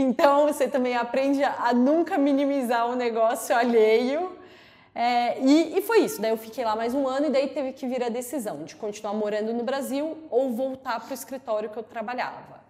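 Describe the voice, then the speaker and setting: The tone is dark and mellow. The voice moves at a moderate pace with ordinary pitch variation. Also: woman, high pitch for a woman. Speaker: lawyer. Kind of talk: interview. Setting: studio.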